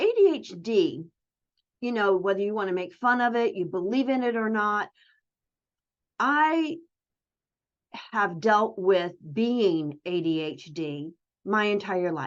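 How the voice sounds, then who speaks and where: A woman talks at a fairly slow pace, leaving long, frequent pauses. Her pitch swings very widely. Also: medium pitch for a woman. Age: 60s. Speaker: online community host for home business owners. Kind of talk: casual solo livestream chat. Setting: virtual livestream. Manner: conversational, with many fillers.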